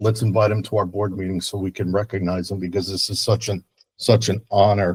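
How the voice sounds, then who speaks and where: A fairly low, somewhat breathy man's voice at a fairly quick pace with fairly even intonation. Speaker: school board member. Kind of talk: formal remarks at public meeting.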